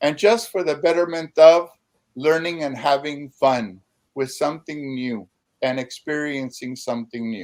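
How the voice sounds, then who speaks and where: The speaking voice is unremarkable, with ordinary pitch variation. It moves at a moderate pace. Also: man, fairly high pitch for a man. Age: 60s. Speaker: poet and educator. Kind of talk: panel discussion.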